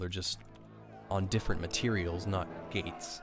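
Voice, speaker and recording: A man with a fairly low pitch at a moderate pace, music in the background. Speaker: speedrunner. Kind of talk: video game tutorial narration. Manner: casual, hesitant.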